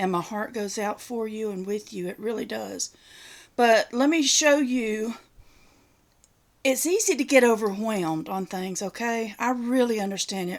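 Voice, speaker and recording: With a Southern accent, a woman talks fairly slowly at a fairly high pitch and ordinary pitch variation on a very clean recording with a silent background. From US South. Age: 60s. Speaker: retiree YouTuber. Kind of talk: casual show-and-tell video. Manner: folksy, chatty.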